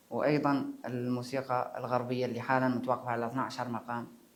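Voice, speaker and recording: Audible room echo surrounds a moderate-paced delivery in a monotone, flat intonation. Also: man. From Mauritania. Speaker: musician. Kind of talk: interview. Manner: halting.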